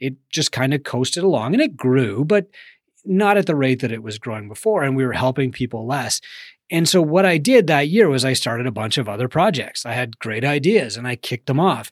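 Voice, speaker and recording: A man's normal speaking voice at a medium pitch, fairly quick in pace, with lively intonation and a dry, close sound without echo. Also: very clean recording, silent background. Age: 40s. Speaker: business mentor and podcast host. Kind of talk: solo podcast monologue.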